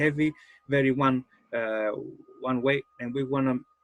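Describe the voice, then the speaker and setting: In a dry, close sound with no echo, a man with a Greek accent talks at a moderate pace with fairly even intonation. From Greece. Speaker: game master and life coach. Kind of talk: seminar talk. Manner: halting.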